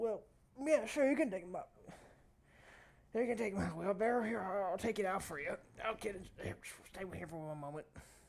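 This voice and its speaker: Delivered at a moderate pace with long, frequent pauses, the put-on character voice is raspy and sits at a middle pitch. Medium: actual play. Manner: folksy, rambling.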